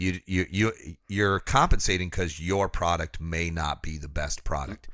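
A man's very deep, low voice with a bright, sharp tone and lively intonation, on a very clean recording with a silent background. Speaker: podcast co-host reading sponsor ads. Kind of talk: casual, conversational. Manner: smooth, practiced delivery.

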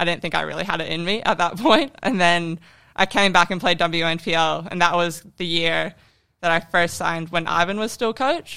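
Fairly low in pitch, a woman speaks with an American accent and ordinary pitch variation. Vocal fry runs through her voice. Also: moderate pace. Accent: American-tinged Australian. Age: 20s. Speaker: professional footballer. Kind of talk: casual podcast interview.

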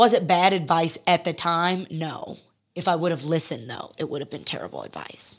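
A woman's unremarkable speaking voice, fairly low, at a moderate pace with ordinary pitch variation. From US Midwest and Texas (Detroit, then Houston). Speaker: beauty and style journalist and influencer. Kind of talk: casual interview.

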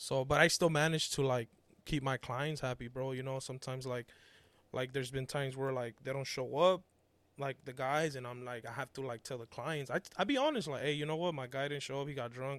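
In a very clean recording with a silent background, a man talks at a fairly quick pace, using a medium pitch and fairly even intonation. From Mexico, raised South Central Los Angeles. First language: Spanish. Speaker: artist and landscaper. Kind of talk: casual chat.

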